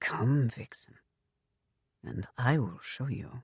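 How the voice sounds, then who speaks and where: Using a put-on character voice at a medium pitch, a man speaks at a very slow pace, with a dry, close sound and no echo. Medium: read story. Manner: low, terse.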